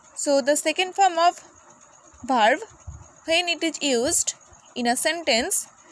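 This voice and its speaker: Against noticeable background noise, a woman talks at a fairly slow pace in an extremely high voice. Her pitch varies in an ordinary way, and she leaves long, frequent pauses. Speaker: English teacher. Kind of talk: lecture.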